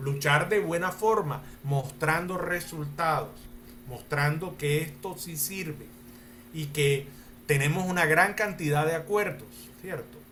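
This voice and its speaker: In a room with audible echo, a man with a fairly high pitch and ordinary pitch variation speaks at a very slow pace. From Colombia. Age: 60s. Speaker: lawyer and mediator. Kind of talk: panel talk answering audience questions.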